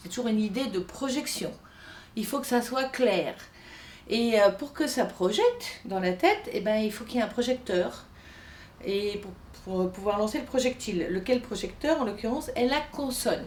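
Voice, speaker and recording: A woman talks at a moderate pace with ordinary pitch variation. Her speech has long, frequent pauses over noticeable background noise. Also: fairly high pitch for a woman. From France, Italian emigrant family from Piedmont. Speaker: singing teacher. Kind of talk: lesson on Italian diction for singers. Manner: animated.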